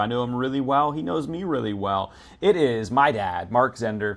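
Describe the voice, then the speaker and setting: A man at a medium pitch and fairly quick pace, with ordinary pitch variation. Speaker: podcast host and pastor. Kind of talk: casual interview wrap-up. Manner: animated; fast.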